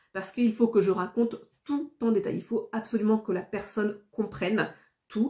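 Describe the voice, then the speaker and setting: A woman's dark, mellow, somewhat breathy voice at medium pitch, with fairly even intonation and a moderate pace. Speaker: YouTuber. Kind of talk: casual vlog monologue. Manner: not well articulated.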